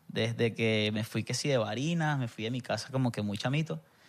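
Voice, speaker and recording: Speaking at a moderate pace with a Venezuelan accent, a man has a medium pitch and lively intonation on a very clean recording with a silent background. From Venezuela, Barinas. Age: 20s. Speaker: musician. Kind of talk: casual chat.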